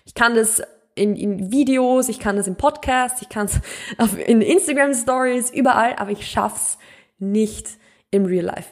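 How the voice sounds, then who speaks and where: A woman speaks at a fairly slow pace in a fairly high voice, her pitch moving in an ordinary way while her loudness swings widely. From Austria, Mühlviertel (rural Upper Austria). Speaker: podcast host, nutrition coach. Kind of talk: casual podcast monologue.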